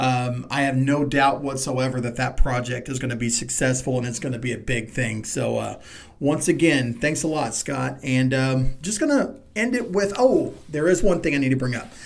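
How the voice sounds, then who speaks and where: A man's normal speaking voice, medium in pitch, with ordinary pitch variation and a moderate pace. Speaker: podcast host. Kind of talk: casual interview chat.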